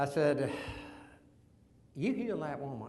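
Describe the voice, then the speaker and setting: A man with a Texas accent and a fairly high pitch, showing ordinary pitch variation, amid audible room echo. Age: 70s. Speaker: veteran and businessman sharing faith story. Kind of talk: testimony.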